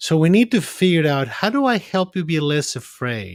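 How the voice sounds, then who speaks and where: A man speaks with a non-native accent. His pace is moderate and his intonation lively. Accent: foreign. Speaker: psychiatrist. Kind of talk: podcast discussion. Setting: remote call from his office. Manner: halting, repeats words.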